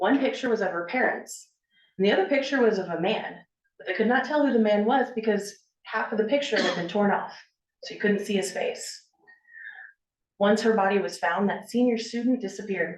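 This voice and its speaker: Amid audible room echo, a woman with an American accent speaks at a fairly high pitch and a fairly quick pace, with long, frequent pauses. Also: ordinary pitch variation. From US Midwest, Dayton, Ohio. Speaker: author and local historian. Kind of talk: public talk.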